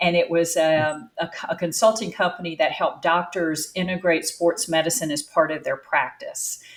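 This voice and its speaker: A woman with a North Carolina accent speaks at a fairly low pitch with hardly any pauses. Noticeable background noise runs underneath. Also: ordinary pitch variation, moderate pace. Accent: Southern, North Carolina. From North Carolina, US South. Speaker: business founder and CEO. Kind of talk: interview conversation.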